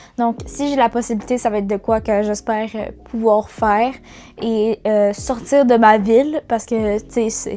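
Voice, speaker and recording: A woman with a Quebec accent speaks at a fairly high pitch in a monotone, flat intonation. Her pace is fairly slow, with music in the background. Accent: Québécois French. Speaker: YouTuber, student. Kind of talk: casual vlog talk. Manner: halting, many fillers.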